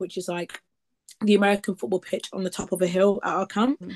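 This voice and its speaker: Fairly quick in pace, a woman with a medium pitch is heard in a dry, close sound with no echo. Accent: East Midlands. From Leicester, East Midlands, England. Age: 20s. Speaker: summer camp counselor and travel content creator. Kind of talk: casual interview chat. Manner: animated.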